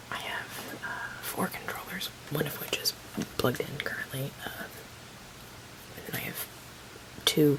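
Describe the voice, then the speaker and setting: A whispered voice comes through at a moderate pace, with noticeable background noise behind it. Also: woman. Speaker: ASMR creator. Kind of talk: ASMR show and tell, casual talk to camera. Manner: soft-spoken, whispery.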